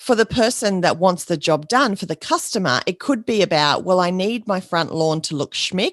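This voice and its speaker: A woman talks at medium pitch and a moderate pace. The sound is dry and close with no echo, over a quiet background. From Australia. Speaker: podcast host, business coach. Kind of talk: podcast monologue.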